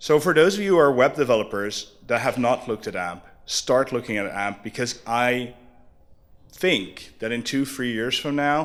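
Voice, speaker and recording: In a normal speaking voice with lively intonation, the speaker keeps a moderate pace. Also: man, medium pitch for a man. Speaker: conference speaker. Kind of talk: conference talk.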